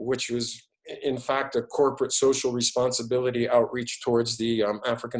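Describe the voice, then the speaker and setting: The speaker is a man. He talks with a New York accent. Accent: New York American English. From New York City. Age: 60s. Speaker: business school professor. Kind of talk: online lecture with Q&A. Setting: video webinar. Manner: halting, many repetitions.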